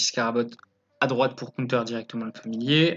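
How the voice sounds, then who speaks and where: This man talks at a fairly slow pace. His intonation stays fairly even. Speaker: card game commentator. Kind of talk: commented gameplay replay. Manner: hesitant, many fillers.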